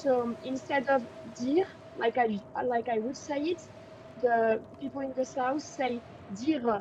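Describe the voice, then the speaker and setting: With a northern French accent, a woman speaks in a high voice at a fairly slow pace, leaving long, frequent pauses. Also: ordinary pitch variation. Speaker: French tutor. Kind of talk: language lesson.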